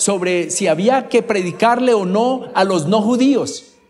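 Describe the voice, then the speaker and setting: This man's voice sits high in pitch and moves with ordinary pitch variation. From Colombia, Bogotá. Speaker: preacher. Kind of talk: sermon.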